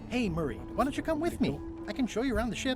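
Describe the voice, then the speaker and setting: A put-on character voice, fairly high in pitch and very fast, over loud music in the background. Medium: game stream.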